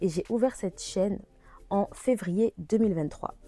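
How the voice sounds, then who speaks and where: A woman's normal speaking voice, medium in pitch, at a fairly slow pace with ordinary pitch variation. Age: 20s. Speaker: e-business consultant and vlogger. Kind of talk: casual vlog tutorial.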